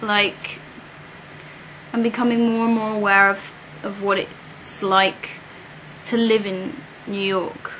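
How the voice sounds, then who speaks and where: Over noticeable background noise, a woman in a British accent talks at a very slow pace with fairly even intonation. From UK. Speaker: British expat in New York. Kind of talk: interview. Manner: hesitant, many fillers.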